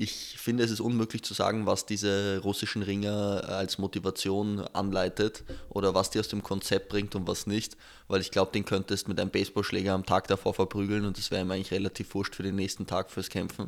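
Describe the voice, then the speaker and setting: Fairly low in pitch, a man talks at a fairly quick pace in a monotone, flat way. The recording is very clean with a silent background. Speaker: podcast host. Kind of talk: casual chat.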